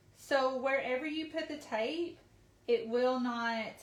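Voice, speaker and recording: There is audible room echo as a woman with a high voice talks at a very slow pace with ordinary pitch variation. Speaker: craft supply company staff demonstrating products. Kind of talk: live product tutorial. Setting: live video stream.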